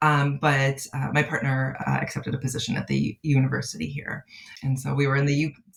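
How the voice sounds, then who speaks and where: A woman speaks in a Midwestern accent at a fairly quick pace. Her pitch is very deep and low, and her intonation fairly even. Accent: American Midwest. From US Midwest, outside Chicago. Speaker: clinical psychologist. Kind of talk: podcast interview. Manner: halting, many fillers.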